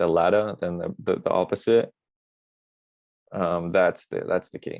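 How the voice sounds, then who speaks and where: Moderately paced speech from a man with an Australian accent. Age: 20s. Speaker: actor. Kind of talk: interview answer. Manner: soft-spoken.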